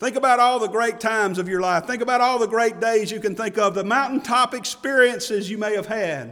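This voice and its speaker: With an American accent, this man talks with pitch that varies in an ordinary way. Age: 50s. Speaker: pastor. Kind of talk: heartfelt Baptist sermon, personal funeral testimony building to a triumphant hallelujah. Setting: church pulpit. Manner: impassioned, rising preacher cadence with emphatic exclamations; halting with repeated word starts and filler uh.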